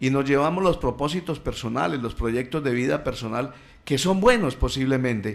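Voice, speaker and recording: Lively intonation in a medium-pitched male voice. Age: 60s. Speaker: radio guest speaking on family and faith. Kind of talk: radio talk. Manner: halting, many fillers.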